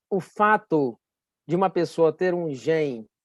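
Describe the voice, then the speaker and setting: Against a quiet background, a man speaks at a high pitch in a dry, close sound with no echo. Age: 60s. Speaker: medical doctor. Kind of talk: health talk. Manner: halting, many fillers.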